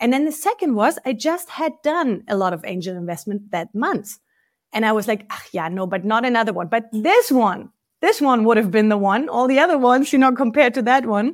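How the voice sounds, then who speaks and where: A woman's fairly high voice with a German accent, lively intonation and a fairly quick pace, on a very clean recording with a silent background. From East Germany. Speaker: venture capital investor. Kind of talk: interview.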